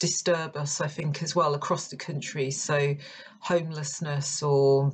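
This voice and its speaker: In a London accent, a woman speaks with a very deep, low, somewhat breathy voice and fairly even intonation. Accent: non-Yorkshire accent, London. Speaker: poet and creative writing lecturer. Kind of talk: poetry reading with commentary.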